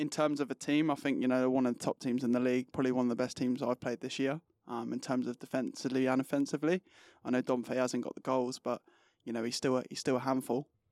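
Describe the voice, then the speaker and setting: Speaking very fast in a monotone, flat intonation, a man with an English accent and medium pitch comes through dry and close with no echo on a very clean recording with a silent background. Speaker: footballer. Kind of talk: casual interview. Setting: studio.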